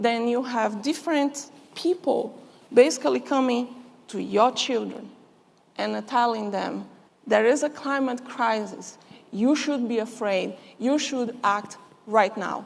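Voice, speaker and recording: High-pitched woman with a Brazilian Portuguese accent, fairly slow pace, ordinary pitch variation, long and frequent pauses, and audible room echo. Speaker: chemist and conference speaker. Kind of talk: conference speech. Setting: stage with audience.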